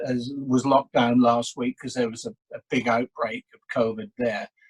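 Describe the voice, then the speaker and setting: The sound is dry and close, without any echo. A man talks in an English accent. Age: 60s. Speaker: public speaking coach. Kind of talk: casual interview, storytelling. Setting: video call. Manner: halting, repetitive.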